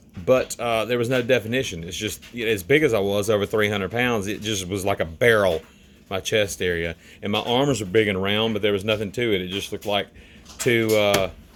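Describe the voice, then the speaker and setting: With fairly even intonation, a man speaking in an American accent keeps his voice at a fairly low pitch. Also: fairly quick pace. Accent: Southern US, somewhat toned down. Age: 40s. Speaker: fitness vlogger. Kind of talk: casual vlog talk. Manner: casual, halting with fillers.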